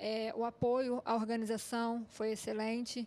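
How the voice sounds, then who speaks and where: A woman speaks in a fairly high pitch. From Petrópolis, Rio de Janeiro state; Rio de Janeiro state, Brazil. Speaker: runner; TV guest. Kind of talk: TV interview. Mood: calm, pleased. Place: studio. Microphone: handheld.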